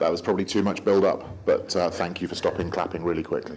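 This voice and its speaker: A man's deadpan voice, with audible room echo and noticeable background noise. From England, Gloucestershire. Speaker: comedian. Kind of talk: stand-up. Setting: stage with audience. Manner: fast.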